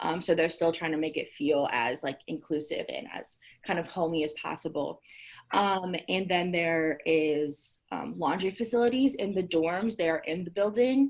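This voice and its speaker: The woman's pitch sits fairly low. Her intonation is lively. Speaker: university housing staff. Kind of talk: virtual info session presentation. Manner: fast.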